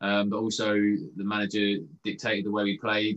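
This man has a fairly low voice and a southern English accent. He talks at a moderate pace. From England, Watford. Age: 30s. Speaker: professional footballer. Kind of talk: interview. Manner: halting.

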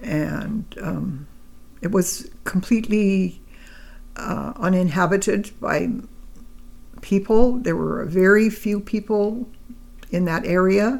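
A woman's medium-pitched voice with vocal fry and ordinary pitch variation, at a very slow pace with long, frequent pauses. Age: 80s. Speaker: grandmother being interviewed. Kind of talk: elder life story, reminiscing in a relaxed family interview. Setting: home interview with a microphone. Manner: slow, halting, reflective, with pauses and fillers; warm, gentle, matter-of-fact storytelling.

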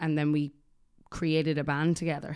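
Against a quiet background, a woman with an Irish accent speaks at a moderate pace and a fairly low pitch. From Ireland. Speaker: musician and songwriter. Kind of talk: casual chat. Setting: studio.

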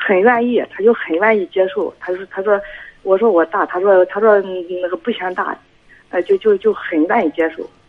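Against noticeable background noise, a woman speaks at a medium pitch and moderate pace with fairly even intonation. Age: 40s. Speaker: caller with marital problems. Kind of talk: phone-in advice call. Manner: halting.

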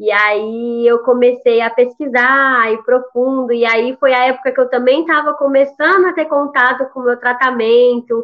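Hardly pausing, a woman speaks at a moderate pace with a high pitch and fairly even intonation. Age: young. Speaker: pharmacy student with cystic fibrosis. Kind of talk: personal testimony in interview.

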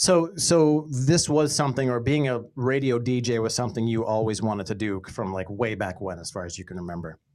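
With an American accent and an unremarkable speaking voice, a man at a medium pitch talks at a fairly quick pace with hardly any pauses and lively intonation, in a very clean recording with a silent background. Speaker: podcast host and former radio brand manager. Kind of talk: casual interview chat. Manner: upbeat, friendly.

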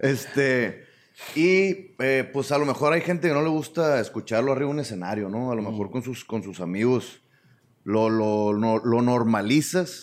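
A man's medium-pitched voice with a Sinaloan accent, lively intonation and a moderate pace. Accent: northern Mexican Sinaloan Spanish. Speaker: stand-up comedian. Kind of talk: casual chat.

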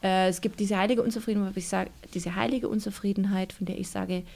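A woman talks at a medium pitch with ordinary pitch variation. Her tone is dark and mellow, and somewhat breathy. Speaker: author and church youth worker. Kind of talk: interview.

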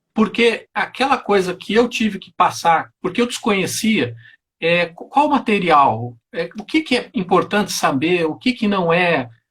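A man with a high-pitched voice whose pitch swings very widely. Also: fairly slow pace. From southern Brazil, Porto Alegre. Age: 40s. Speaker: federal prosecutor, former tax auditor. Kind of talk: interview on live stream.

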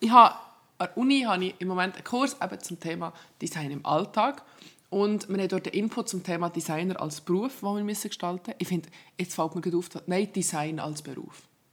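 The delivery comes at a very fast pace. Pitch varies in an ordinary way. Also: woman, medium pitch for a woman. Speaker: university student, podcast co-host. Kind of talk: casual chat. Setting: home office, morning recording.

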